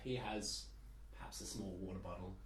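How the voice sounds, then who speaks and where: A man with an Australian accent at a moderate pace. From Perth, Australia. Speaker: student. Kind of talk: casual chat.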